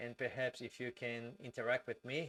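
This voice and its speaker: The speaker has a Brazilian accent and talks at a fairly slow pace. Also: man. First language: Portuguese. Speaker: civil engineer and migration advisor. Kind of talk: live stream Q&A tutorial. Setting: live stream. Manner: slow, deliberate; hesitant, many fillers.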